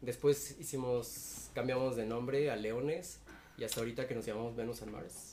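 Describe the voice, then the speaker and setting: There is noticeable background noise as a man of medium pitch speaks at a moderate pace with fairly even intonation. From Cuernavaca, Mexico. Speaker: indie musician. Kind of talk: casual interview.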